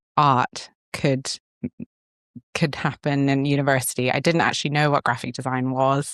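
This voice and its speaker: A woman speaks with a very deep, low pitch. The sound is dry and close, without any echo. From Singapore, born in Sri Lanka. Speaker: creative director. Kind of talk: interview conversation. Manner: hesitant, many fillers.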